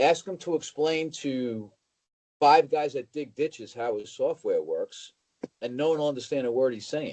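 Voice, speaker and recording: An unremarkable speaking voice from a man with an American accent, fairly high in pitch, at a moderate pace with ordinary pitch variation. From New York (Bronx). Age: 60s. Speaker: car dealership operating partner. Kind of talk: casual interview. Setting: call.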